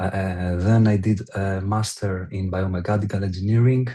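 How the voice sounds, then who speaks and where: A man with a fairly low pitch and a dark, mellow tone sounds somewhat breathy and keeps a fairly even intonation. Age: 20s. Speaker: online store owner. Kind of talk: interview. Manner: halting, many fillers.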